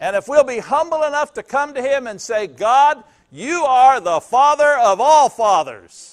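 Against a quiet background, a man speaks at an extremely high pitch. He takes a fairly slow pace. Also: lively intonation. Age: 60s. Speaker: pastor. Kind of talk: sermon. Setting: church. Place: church.

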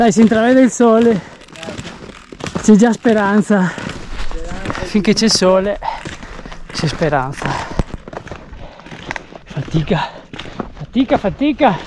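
Over noticeable background noise, a man with a high pitch speaks at a very slow pace with long, frequent pauses and lively intonation, the sound dry with no echo. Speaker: outdoor vlogger. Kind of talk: casual vlog chat. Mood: cheerful, joking. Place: forest. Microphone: phone near.

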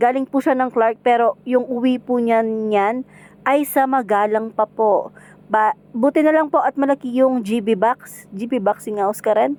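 At a fairly slow pace, a woman with a high pitch and a Kapampangan accent speaks with very even loudness. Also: ordinary pitch variation, dry, close sound with no echo. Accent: Kapampangan-accented Tagalog. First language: Kapampangan (speaking Tagalog). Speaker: home food seller and vlogger. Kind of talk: cooking vlog narration.

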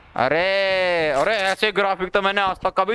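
A man speaks at a very slow pace. The sound is dry with no echo, over loud background noise. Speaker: game streamer. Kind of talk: excited gaming commentary. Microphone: headset.

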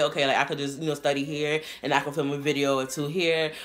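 Faint music plays in the background while the woman talks. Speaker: youtuber. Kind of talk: casual vlog chat. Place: home room. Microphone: camera far.

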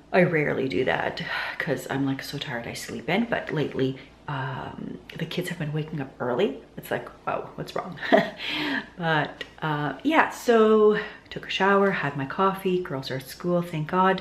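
A woman speaks at a moderate pace with lively intonation and a fairly low pitch, over light background noise. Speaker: lifestyle vlogger. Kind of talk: casual vlog chat. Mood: chatty, lightly laughing. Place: home room. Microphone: phone near.

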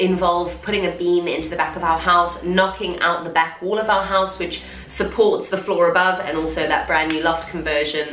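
A woman with a fairly low pitch speaks in a flat monotone at a moderate pace, hardly pausing. Light background noise and audible room echo are present. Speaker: home renovation vlogger. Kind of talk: casual vlog chat. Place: home room.

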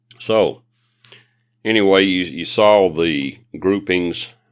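Vocal fry colors this man's voice. He talks very slowly. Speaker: YouTube shooting and reloading channel host. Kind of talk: tutorial. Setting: outdoors at a shooting range. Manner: halting.

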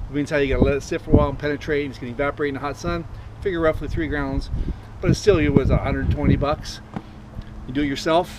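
A man speaks at a very fast pace. The sound is dry with no echo, but loud background noise runs underneath. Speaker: product demonstrator. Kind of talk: tutorial. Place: street. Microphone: camera far.

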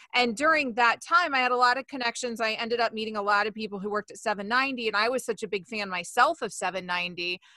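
A woman speaks at a fairly quick pace with hardly any pauses, her pitch fairly high and her tone bright and sharp. Her pitch varies in an ordinary way, and the sound is dry with no echo over a quiet background. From Florida, US South. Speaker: sports radio host. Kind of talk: casual interview. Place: home room. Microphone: studio mic.

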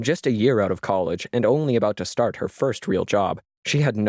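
Someone reads aloud in a natural voice, and the background stays quiet.

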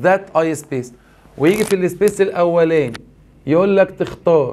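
The pitch of this man's voice is high, and its variation is ordinary. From Egypt. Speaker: English teacher. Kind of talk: lecture. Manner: animated. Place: studio.

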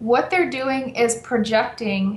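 The somewhat breathy voice comes with audible room echo. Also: woman. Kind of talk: interview answer. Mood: relaxed, explanatory. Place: home room. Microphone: video call.

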